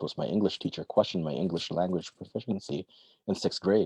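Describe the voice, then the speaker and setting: Talking at a very fast pace, a man with a very deep, low pitch and a dark, mellow tone shows ordinary pitch variation, recorded dry and close with no echo. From Philippines, then Jakarta from age 12. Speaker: author. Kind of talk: reading aloud. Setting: online livestream. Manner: halting with many fillers when speaking freely.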